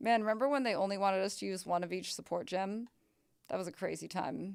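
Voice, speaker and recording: Medium in pitch, a woman's voice races along at a very fast pace. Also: ordinary pitch variation. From Canada. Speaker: video game streamer. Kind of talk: casual live-stream chat with gameplay. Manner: loud and very reactive.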